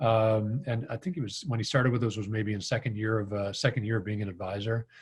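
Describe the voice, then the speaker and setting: Someone speaks very fast in a Midwestern accent, the voice somewhat breathy. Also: man, medium pitch for a man, ordinary pitch variation. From US Midwest, Green Bay, Wisconsin. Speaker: financial marketing consultant. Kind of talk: webinar presentation. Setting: video call. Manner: hesitant, many fillers.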